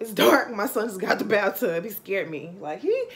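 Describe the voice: At a moderate pace, a woman speaks at a medium pitch with big pitch swings.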